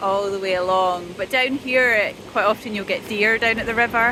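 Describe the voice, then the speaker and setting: In a Scottish accent, a woman at fairly high pitch speaks at a moderate pace with fairly even intonation over noticeable background noise. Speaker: vlogger. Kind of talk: casual vlog talk to camera. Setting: outdoors walking with a buggy.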